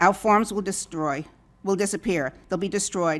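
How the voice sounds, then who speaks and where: A woman with a New York accent. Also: very clean recording, silent background. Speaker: public commenter at hearing. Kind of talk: public comment.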